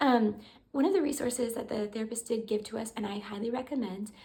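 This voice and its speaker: A woman with an American accent talks at a fairly quick pace, her somewhat breathy voice dark and mellow in tone, with ordinary pitch variation. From US. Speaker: parent vlogger. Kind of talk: casual tutorial. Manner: conversational with fillers.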